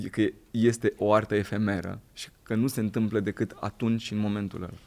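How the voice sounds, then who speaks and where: This man has a normal speaking voice, fairly low in pitch, with fairly even intonation at a fairly slow pace. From southern Romania, Craiova. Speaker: actor. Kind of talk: casual chat.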